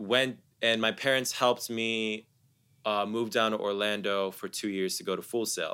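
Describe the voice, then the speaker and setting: Over a very clean recording with a silent background, a man with a General American accent and medium pitch talks at a fairly slow pace with fairly even intonation. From US Midwest (Columbus, Ohio). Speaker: music producer and live artist. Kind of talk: casual interview. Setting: studio.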